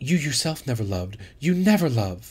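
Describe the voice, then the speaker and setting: Putting on a character voice, a man talks at a moderate pace and medium pitch, his pitch swinging very widely. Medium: read story. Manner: seductive, teasing.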